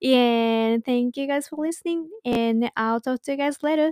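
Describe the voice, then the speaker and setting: With a Japanese accent, a woman speaks in a high pitch with fairly even intonation. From Japan (Saitama, north of Tokyo). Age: 20s. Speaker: podcast host. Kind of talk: casual solo podcast talk. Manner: casual, chatty.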